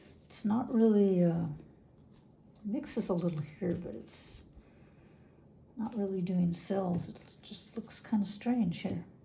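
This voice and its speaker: A woman talks at a fairly slow pace with medium pitch and ordinary pitch variation. Noticeable background noise is present. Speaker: fluid artist. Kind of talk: casual talk to camera.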